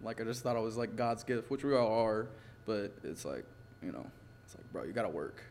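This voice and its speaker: Fairly quick delivery with vocal fry, ordinary pitch variation and big swings in loudness. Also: man, medium pitch for a man. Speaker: podcast guest, musician and actor. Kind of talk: casual interview, telling his life story.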